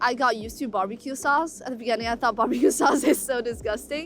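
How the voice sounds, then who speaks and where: A woman with a Chinese accent and a high voice speaks at a moderate pace over music in the background. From China. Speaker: college student. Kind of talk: documentary interview.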